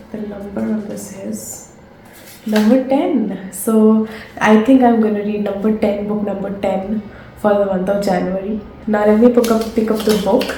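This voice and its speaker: Amid noticeable background noise and audible room echo, a woman speaks at a medium pitch and moderate pace in a monotone, flat intonation. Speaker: book vlogger. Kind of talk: casual vlog. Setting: at home, late at night.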